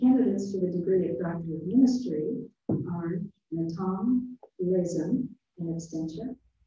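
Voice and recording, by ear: Audible room echo surrounds a woman's fairly low voice with a dark, mellow tone. She speaks at a fairly slow pace with ordinary pitch variation.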